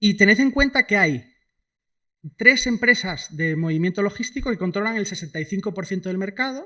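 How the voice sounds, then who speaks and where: Raised and projected, a man's high-pitched voice has a bright, sharp tone and lively intonation, recorded very cleanly against a silent background. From Spain, Asturias (Cangas del Narcea). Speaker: economist, guest speaker. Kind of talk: lecture. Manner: fast; casual, many fillers.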